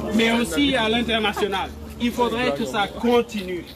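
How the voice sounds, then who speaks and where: A man talks at a fairly slow pace in an extremely high pitch, with noticeable background noise behind him. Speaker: political activist. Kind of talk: rally speech.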